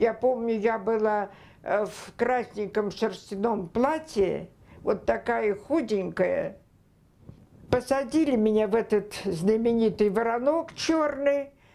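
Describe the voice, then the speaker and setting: Her voice is fairly high-pitched with a dark, mellow tone, as this woman speaks very slowly with very even loudness and ordinary pitch variation. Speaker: former Gulag political prisoner. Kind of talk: oral history interview answer.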